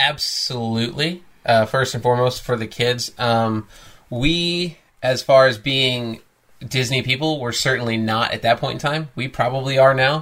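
A man with an American accent speaks in a normal speaking voice at a moderate pace, with medium pitch and fairly even intonation. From US Midwest. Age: 30s. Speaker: podcast co-host, host's husband. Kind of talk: casual chat.

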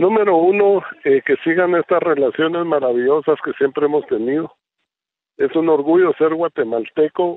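This man talks at a moderate pace in a high pitch, with ordinary pitch variation. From Guatemala. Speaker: presidential candidate. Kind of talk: radio interview.

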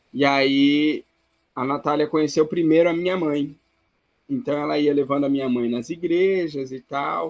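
Using a normal speaking voice, a man talks at a fairly slow pace with a fairly high pitch and fairly even intonation. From Brazil. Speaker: missionary. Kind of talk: interview.

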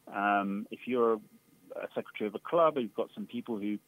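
This is an unremarkable speaking voice from a man. His pace is moderate and his pitch varies in an ordinary way. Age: 50s. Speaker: doctor and amateur runner. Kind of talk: radio interview. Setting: phone call.

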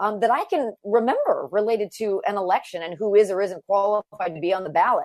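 A woman with an unremarkable speaking voice, medium pitch and a moderate pace. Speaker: radio talk show host and trial attorney. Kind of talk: political talk show discussion.

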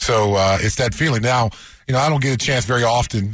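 Against a quiet background, a man speaks somewhat breathily at a fairly quick pace with ordinary pitch variation. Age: 50s. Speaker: sports radio co-host, former NFL player. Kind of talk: casual sports talk chat.

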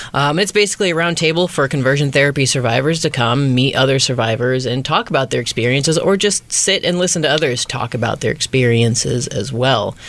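Over noticeable background noise, a man with an American accent and a fairly high voice talks at a fairly quick pace with hardly any pauses, very even loudness and ordinary pitch variation. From southern Illinois, small town. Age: 20s. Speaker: conversion therapy survivor and activist. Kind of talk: interview.

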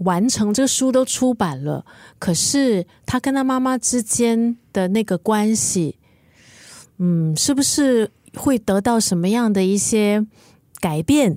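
Very slowly, a woman speaks in a fairly high pitch with a dark, mellow tone and lively intonation. Her loudness is very even, and the sound is dry and close with no echo. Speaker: podcast co-host, book discussion. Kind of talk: casual book chat.

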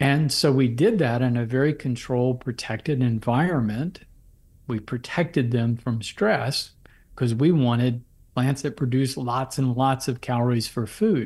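In a very clean recording with a silent background, a man at a medium pitch sounds somewhat breathy, speaking at a moderate pace with ordinary pitch variation. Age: 60s. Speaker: physician and herbal medicine author. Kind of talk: interview, explanatory talk.

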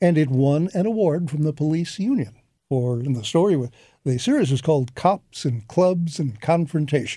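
In a very clean recording with a silent background, a man with a dark, mellow tone speaks at a fairly high pitch and moderate pace, his intonation lively. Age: 80s+. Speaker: retired radio newsman. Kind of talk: interview. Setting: studio.

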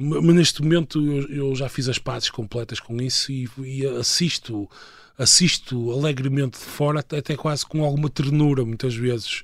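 Pitched in the middle range, a man talks with rather level intonation. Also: moderate pace. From northern Portugal, Viana do Castelo. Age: 30s. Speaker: political scientist. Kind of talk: interview. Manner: halting.

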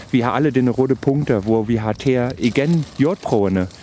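A man speaks with a German accent at a fairly slow pace. His pitch is medium, with ordinary pitch variation. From Germany, Brandenburg. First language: German (speaking Danish). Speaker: senior researcher. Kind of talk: field interview. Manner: halting, mixing Danish and German.

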